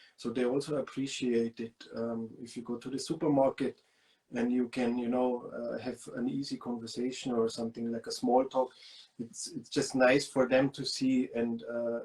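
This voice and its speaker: Monotone, flat intonation in a German accent at a moderate pace. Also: man, medium pitch for a man. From Lower Bavaria, Germany. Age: 30s. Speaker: guest. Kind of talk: interview.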